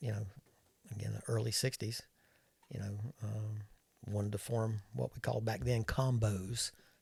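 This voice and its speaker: A man with an American accent talks at a moderate pace with ordinary pitch variation. His voice is somewhat breathy. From US South, North Carolina (Winston-Salem). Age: 70s. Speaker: retired airline captain. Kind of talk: casual chat. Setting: studio.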